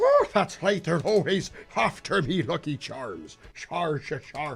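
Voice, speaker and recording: A man's put-on character voice in an Irish accent, high-pitched and at a fairly slow pace. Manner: exaggerated, comical impression.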